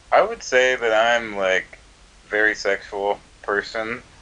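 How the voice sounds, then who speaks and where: Very slow speech from a man with an American accent, medium pitch and fairly even intonation. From US South, Georgia. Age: 20s. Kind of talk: casual chat.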